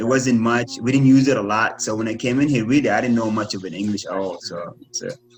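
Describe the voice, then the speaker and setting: Very fast male speech with fairly even intonation, hardly any pauses, and noticeable background noise. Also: medium pitch for a man. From Kuwait. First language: Arabic. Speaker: former Olympic runner. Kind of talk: casual interview.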